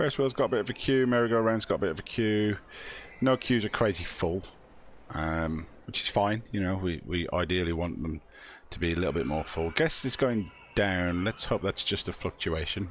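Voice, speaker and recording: This man has a British accent and a very deep, low pitch. He keeps a moderate pace with lively intonation. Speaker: gaming channel host. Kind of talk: casual gameplay commentary.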